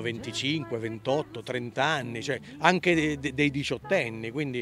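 Over clear background music, a man talks with ordinary pitch variation in a dry sound with no echo. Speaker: interviewee. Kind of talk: interview answer. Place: garden. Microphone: handheld.

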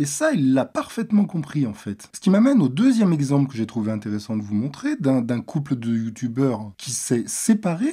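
The man's tone is dark and mellow. He speaks at a moderate pace with ordinary pitch variation. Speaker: video commentator. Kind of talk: explanatory monologue, commentary on a video. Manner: serious, measured, explanatory.

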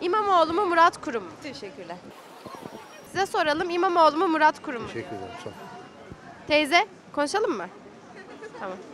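A woman speaks at a high pitch and a fairly quick pace with very wide pitch swings, big swings in loudness and long, frequent pauses, in a dry sound with no echo and with crowd noise in the background. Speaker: street interviewer. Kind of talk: street interviews. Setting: outdoors on the street. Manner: fast. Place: street. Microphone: handheld.

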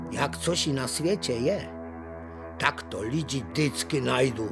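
A man with an Ostrava accent, very slow pace and very wide pitch swings, with music in the background. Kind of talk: planetarium show narration. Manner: folksy, humorous.

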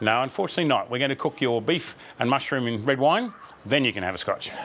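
A man talks fast with lively intonation and a medium pitch. His tone is fairly bright.

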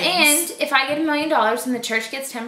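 The speech comes at a very fast pace. Room echo is audible, with light background noise. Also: woman. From Boston, Massachusetts. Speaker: vlogger. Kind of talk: casual talk to camera. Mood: playful, laughing. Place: home room. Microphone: camera far.

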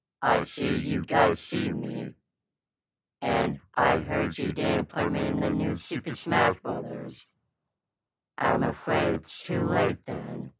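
A man in a cartoonish character voice, raspy, very deep and low in pitch, at a fairly slow pace. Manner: cold, brooding, terse.

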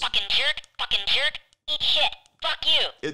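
The voice is a put-on character voice with a nasal sound. Its pitch is high. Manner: insulting, rude.

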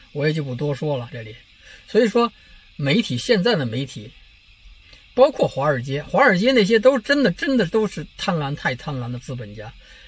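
Somewhat breathy and fairly high-pitched, a man talks at a fairly quick pace with very wide pitch swings, the sound dry with no echo. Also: big swings in loudness. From China. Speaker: political commentary vlogger. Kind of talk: casual monologue vlog. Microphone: phone near.

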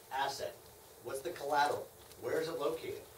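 Amid light background noise and audible room echo, a man talks at a very fast pace. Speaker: hard money lender presenting to real estate investors. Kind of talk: lecture. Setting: live seminar with audience. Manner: fast talker; talkative. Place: meeting room. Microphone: camera far.

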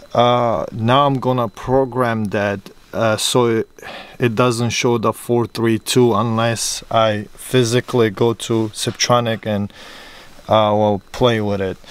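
A man speaks in a monotone with flat intonation at a very slow pace. The sound is dry, with no echo. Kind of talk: tutorial. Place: car. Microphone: phone near.

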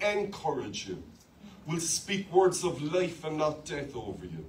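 In an Irish accent, a man speaks at a high pitch over light background noise. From Ireland. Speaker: pastor. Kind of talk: sermon. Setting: church with live congregation. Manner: animated, call-and-response preaching with humour. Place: church. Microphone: handheld.

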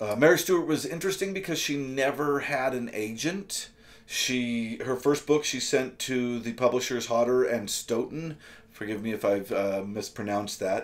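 With lively intonation, a man delivers his words at a moderate speed. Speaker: book reviewer. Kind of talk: casual book review vlog. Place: home room.

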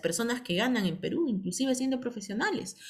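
With ordinary pitch variation, a woman speaks in a somewhat breathy way. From Peru, provinces outside Lima. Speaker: direct sales team leader. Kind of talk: online business training meeting. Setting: video call. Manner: animated.

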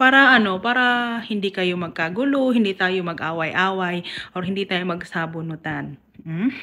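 A bright, sharp tone at a moderate pace with lively intonation. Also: woman. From Mindanao, Philippines; Philippines. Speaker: YouTuber. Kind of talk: casual vlog commentary. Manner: animated. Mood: exasperated, chiding. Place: home room. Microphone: phone near.

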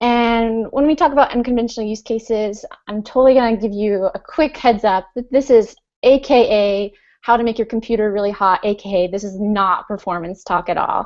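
Over a quiet background, a woman talks at moderate speed. Her pitch varies in an ordinary way. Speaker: remote conference speaker. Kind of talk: conference talk. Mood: friendly, smiling. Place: home room. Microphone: earbuds.

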